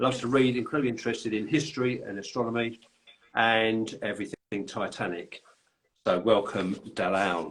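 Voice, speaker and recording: A man speaks with a London accent. His pitch varies in an ordinary way. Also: medium pitch for a man, moderate pace. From London, England. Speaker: podcast host and author. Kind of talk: casual chat. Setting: live video call. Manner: halting.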